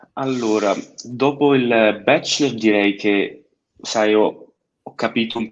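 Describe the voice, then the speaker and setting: Here is a man talking. His pitch is medium. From Switzerland, Italian parents. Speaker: finance student. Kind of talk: interview. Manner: halting, many fillers and repeats.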